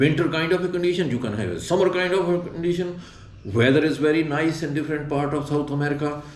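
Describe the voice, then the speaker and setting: A man speaks at a fairly quick pace with a fairly high pitch. Audible room echo surrounds his voice. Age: 60s. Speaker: retired traveler, backpacker. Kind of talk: interview. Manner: halting.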